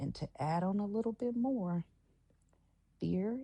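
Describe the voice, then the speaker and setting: At a very slow pace, a dark, mellow voice comes through somewhat breathy. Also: woman. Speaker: podcast host. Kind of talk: motivational talk. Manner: pauses often, breathing heavily.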